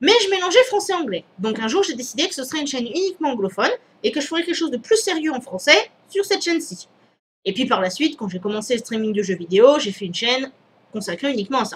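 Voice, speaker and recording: A woman speaks at a very fast pace in a high voice that moves through very wide pitch swings. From Réunion. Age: 30s. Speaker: YouTuber. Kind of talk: vlog Q&A. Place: home room. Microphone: headset.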